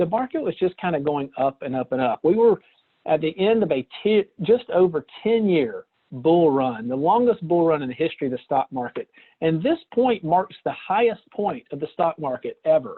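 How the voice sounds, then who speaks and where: At a moderate pace, this speaker talks with a Southern US accent. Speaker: financial presenter. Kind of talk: webinar presentation. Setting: online webinar call. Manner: casual with hesitations.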